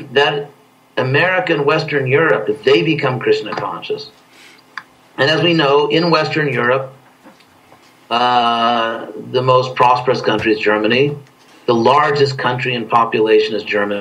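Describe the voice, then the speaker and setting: A man speaks with long, frequent pauses, and the room echo is audible. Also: medium pitch for a man, ordinary pitch variation, moderate pace. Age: 60s. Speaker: spiritual teacher. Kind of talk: interview. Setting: video call.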